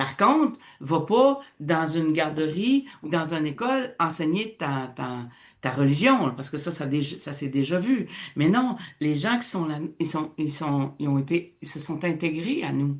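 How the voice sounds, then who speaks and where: At a fairly slow pace, a woman with a very deep, low pitch talks in an animated tone with lively intonation. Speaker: radio host, teacher. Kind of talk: casual radio discussion.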